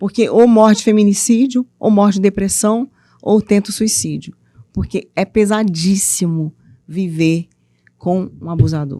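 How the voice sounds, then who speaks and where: A woman with a Minas Gerais accent speaks fairly slowly at a medium pitch, her tone dark and mellow in a dry, close sound with no echo. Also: ordinary pitch variation, very clean recording, silent background. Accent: mineiro accent, noticeable. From Minas Gerais, Brazil (eastern region, Ipatinga). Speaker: author and women's mentor. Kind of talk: interview conversation. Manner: animated, playful.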